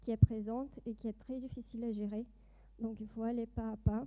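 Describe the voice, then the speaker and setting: At a moderate pace, a woman with a Brazilian accent speaks in a fairly high pitch with flat, monotone intonation. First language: Portuguese (speaking French). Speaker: doctoral student and industry project manager. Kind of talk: conference presentation. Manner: hesitant, many fillers.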